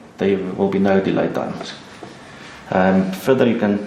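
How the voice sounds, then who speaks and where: Through noticeable background noise, a man talks at a moderate pace in a fairly low pitch. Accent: non-native. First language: not English. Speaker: alarm installer. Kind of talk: how-to tutorial.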